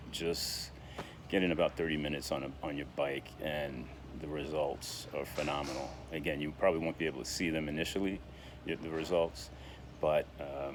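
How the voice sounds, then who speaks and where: A man talks at a moderate pace in a very deep, low pitch. His delivery is a flat monotone with vocal fry. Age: 60s. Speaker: diabetes vlogger. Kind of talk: casual vlog monologue. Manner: hesitant, many fillers and repetitions.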